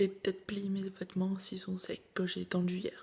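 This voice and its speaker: A soft-spoken, somewhat breathy delivery at a fairly slow pace. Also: woman. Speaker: vlogger, student. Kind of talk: casual vlog talk to camera.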